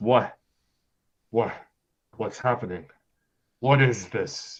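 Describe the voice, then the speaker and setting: A man drags out his words at a very slow pace in a put-on character voice of medium pitch. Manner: confused, bewildered.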